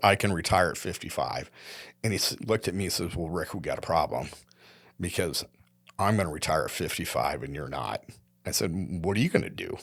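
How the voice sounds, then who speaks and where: A man with a Midwestern US accent at a fairly quick pace, lively intonation, on a very clean recording with a silent background. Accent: US Midwest. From Iowa. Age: 70s. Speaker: retired company executive. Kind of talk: interview conversation. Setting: studio.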